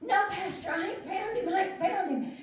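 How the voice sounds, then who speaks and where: An extremely high-pitched put-on character voice speaks at a moderate pace. There is a slight echo and light background noise. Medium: solo performance. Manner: plain, folksy, stubborn.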